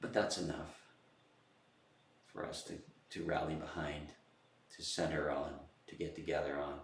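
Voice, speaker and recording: A man with a very deep, low pitch sounds somewhat breathy, talking at a moderate pace with fairly even intonation and long, frequent pauses. Audible room echo surrounds his voice. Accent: American. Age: 70s. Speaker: political commentator. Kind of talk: political monologue. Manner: halting, many fillers and repeats.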